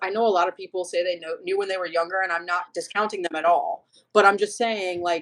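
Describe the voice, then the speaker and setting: With an American accent, an unremarkable speaking voice goes at a fairly quick pace and shows ordinary pitch variation. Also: woman. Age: 30s. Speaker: detransitioner sharing her story. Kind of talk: casual interview conversation.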